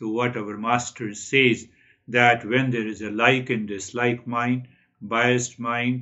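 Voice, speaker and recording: A man speaks at a very slow pace in a monotone, flat intonation. The background is quiet. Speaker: spiritual teacher. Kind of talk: spiritual talk. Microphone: webcam.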